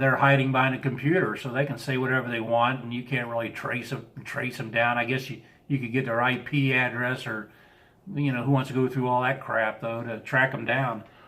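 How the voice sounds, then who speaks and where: A man with a slight Southern US accent, medium pitch, monotone, flat intonation and a fairly quick pace. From US Midwest, Chicago area. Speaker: live streamer. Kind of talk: casual live-stream chat. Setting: live stream.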